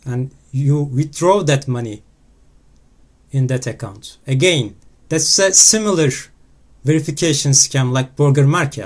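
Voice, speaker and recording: A man with a non-native accent speaks somewhat breathily at a fairly slow pace, with ordinary pitch variation and long, frequent pauses, on a very clean recording with a silent background. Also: fairly high pitch for a man. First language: not English. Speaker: crypto scam investigator. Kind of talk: screen-recorded exposé talk.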